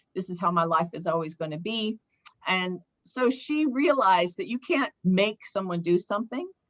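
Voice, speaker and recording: Using an ordinary speaking voice, a woman at a medium pitch talks at a moderate pace with lively intonation. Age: 60s. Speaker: nurse and health educator. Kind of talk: casual interview chat with slideshow.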